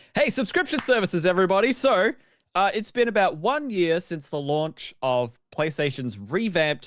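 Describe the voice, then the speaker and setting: A man in an Australian accent at a moderate pace with very wide pitch swings, on a very clean recording with a silent background. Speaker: video games podcast host. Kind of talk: casual chat. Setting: live-streamed podcast.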